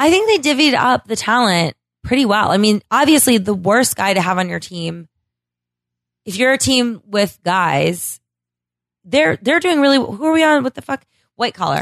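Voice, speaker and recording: A woman with an American accent sounds animated, her fairly high pitch making very wide swings amid long, frequent pauses. The sound is dry and close with no echo, over a quiet background. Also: moderate pace. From Florida. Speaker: reality TV contestant and podcast guest. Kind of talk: casual chat. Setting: host's apartment.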